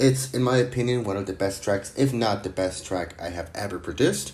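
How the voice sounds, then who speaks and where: The man's voice carries ordinary pitch variation. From Mexico. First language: Spanish. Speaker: music producer. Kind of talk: tutorial. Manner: casual.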